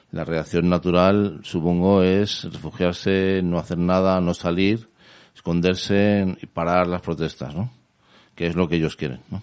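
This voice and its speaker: Very deep and low in pitch, a man speaks at a fairly slow pace with fairly even intonation. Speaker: radio host. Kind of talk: interview.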